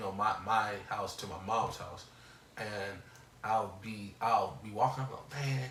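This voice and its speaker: A man's medium-pitched voice comes through audible room echo and noticeable background noise. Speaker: podcast co-host. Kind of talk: casual chat.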